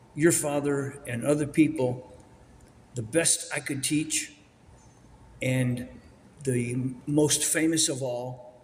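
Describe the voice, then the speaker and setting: A man's fairly high-pitched, monotone, flat voice at a very slow pace, with audible room echo. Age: 80s+. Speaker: martial arts instructor. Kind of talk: interview. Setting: auditorium with audience.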